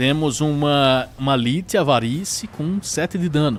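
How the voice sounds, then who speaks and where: Over music in the background, a man talks in a fairly high pitch. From Brazil. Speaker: gaming streamer. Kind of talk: live gameplay stream chat. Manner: casual, colloquial.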